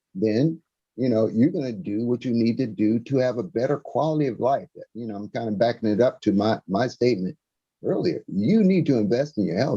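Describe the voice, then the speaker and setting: A man's medium-pitched voice with a dark, mellow tone and lively intonation, dry and close with no echo against a quiet background. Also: fairly quick pace. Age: 60s. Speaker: financial presenter. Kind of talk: webinar presentation. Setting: live stream.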